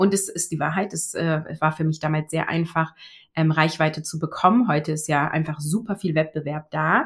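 On a very clean recording with a silent background, a woman with a very deep, low, somewhat breathy voice talks at a moderate pace with fairly even intonation. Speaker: online business coach, former agile coach. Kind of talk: interview conversation. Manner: clear, trained-sounding speech.

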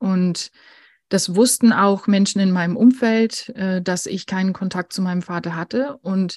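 Against a quiet background, a woman speaks somewhat breathily with fairly even intonation. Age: 40s. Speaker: grief counsellor and editor. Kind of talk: interview about personal grief.

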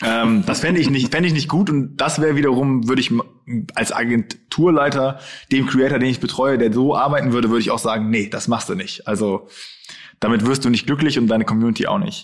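A man has an unremarkable speaking voice at a medium pitch with ordinary pitch variation. He talks at a fairly quick pace with very even loudness. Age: 20s. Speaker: influencer agency owner. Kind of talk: interview.

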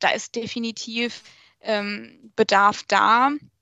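A woman with a fairly high pitch. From Germany, Portuguese family. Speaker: social media manager. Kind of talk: podcast interview.

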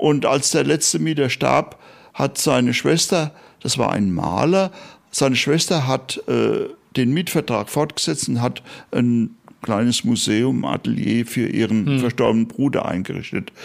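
A man speaks at a fairly slow pace in a medium pitch, with lively intonation and vocal fry. His loudness stays very even on a very clean recording with a silent background. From Germany, Bad Orb (Hesse, Spessart). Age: 70s. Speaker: night watchman tour guide. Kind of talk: interview. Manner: hesitant with frequent fillers.

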